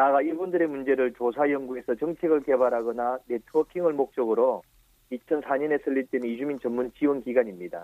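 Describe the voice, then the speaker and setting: Moderate pace and medium pitch in a man's speech, a plain, everyday voice with ordinary pitch variation. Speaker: support center director. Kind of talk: radio interview.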